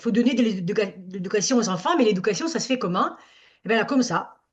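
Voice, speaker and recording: This woman talks at a moderate pace, her fairly high voice rising and falling in a lively way. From Italy. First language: Italian (speaking French). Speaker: summer camp director. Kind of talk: workshop discussion. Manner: halting.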